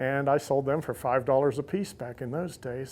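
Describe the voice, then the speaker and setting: A plain, everyday voice with an American accent and fairly even intonation, on a very clean recording with a silent background. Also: man. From US South, Central Florida (Lakeland). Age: 60s. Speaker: insulator collector. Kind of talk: interview monologue.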